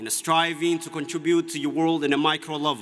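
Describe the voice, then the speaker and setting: A man speaks at a moderate pace with an Ethiopian accent. His pitch is fairly high. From Ethiopia (Oromia). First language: Oromo. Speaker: student commencement speaker. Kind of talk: commencement speech. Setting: graduation ceremony with audience. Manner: formal.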